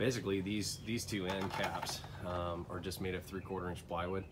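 A man's very deep, low voice at a moderate pace, with noticeable background noise. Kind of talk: casual walkthrough tour. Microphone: phone near.

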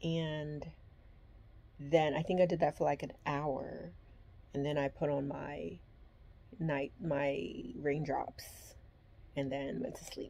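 A woman speaks very slowly in a very deep, low pitch with a dark, mellow tone and vocal fry. Her pitch varies in an ordinary way, broken by long, frequent pauses. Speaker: vlogger. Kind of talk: casual vlog chat. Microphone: phone near.

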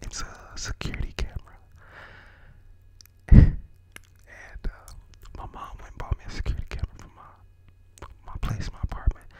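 Soft-spoken and whispering, a man goes at a moderate pace in a dry sound with no echo and light background noise. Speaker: ASMR creator. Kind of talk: casual vlog chat. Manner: soft whisper behind cupped hand. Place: home room. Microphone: studio mic.

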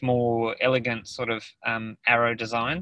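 Over a quiet background, the speaker talks very slowly with an Australian accent in a monotone, flat intonation. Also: man, dry sound with no echo. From Australia, New South Wales. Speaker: artist. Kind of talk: presentation in a webinar. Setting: video call from a car. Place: car. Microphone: video call.

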